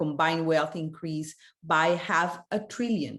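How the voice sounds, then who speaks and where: A woman speaks at a fairly low pitch with a non-native accent, her intonation fairly even. Her pace is fairly slow against a quiet background. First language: not English. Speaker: panelist. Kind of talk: panel discussion. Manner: halting, many fillers.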